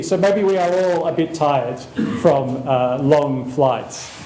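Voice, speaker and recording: There is noticeable background noise and audible room echo as a man with an Australian accent speaks at a moderate pace with ordinary pitch variation. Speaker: professor. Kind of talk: lecture.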